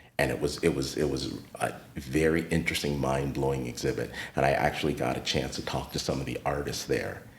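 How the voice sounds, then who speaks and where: In an American accent, a man speaks with a very deep, low pitch and monotone, flat intonation, and audible room echo surrounds him. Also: fairly quick pace. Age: 50s. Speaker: retired teacher and art space founder. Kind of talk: podcast interview.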